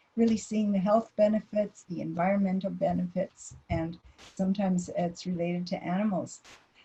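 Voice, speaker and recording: A woman's somewhat breathy, dark, mellow voice at a moderate pace with ordinary pitch variation. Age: 70s. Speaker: dietitian. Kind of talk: lecture. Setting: online presentation.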